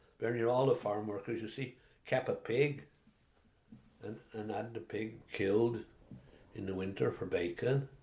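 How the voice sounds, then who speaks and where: A man speaks fairly slowly and somewhat breathily, keeping his intonation fairly even. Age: 80s. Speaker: retired farmer, lifelong resident. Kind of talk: oral history interview answer. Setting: at home, indoors.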